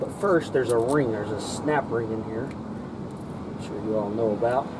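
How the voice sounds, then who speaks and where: A man's voice over noticeable background noise. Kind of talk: tutorial. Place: street.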